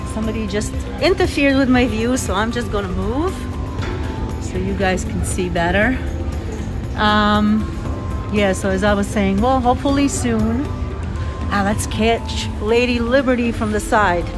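Clear music plays behind a woman speaking at a fairly slow pace. She leaves long, frequent pauses. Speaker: vlogger narrating a ferry ride. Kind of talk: casual vlog chat. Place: boat. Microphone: phone near.

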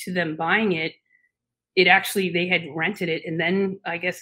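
Against a quiet background, a woman speaks at a moderate pace with a fairly low pitch. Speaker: remote podcast guest. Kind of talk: interview answer. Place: home room.

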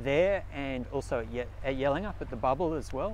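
A man speaks in a dry recording with no echo, with noticeable background noise behind him. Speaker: interviewee. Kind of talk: interview answer. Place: open country.

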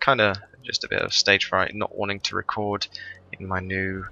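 A man speaks at a moderate pace. The sound is quiet and dry, with no echo. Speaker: gaming YouTuber. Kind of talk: gameplay commentary. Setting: home recording, thin-walled room. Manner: quiet, low-volume; hesitant, many fillers. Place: home room.

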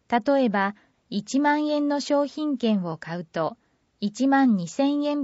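With lively intonation, a woman talks fairly slowly. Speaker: newsletter narrator. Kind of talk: reading aloud. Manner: formal.

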